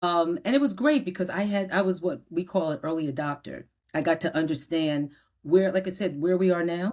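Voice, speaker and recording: Animated in tone, a woman with a slight New Jersey accent speaks fairly quickly at a fairly low pitch with ordinary pitch variation. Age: 60s. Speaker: media publisher and entrepreneur. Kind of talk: podcast interview.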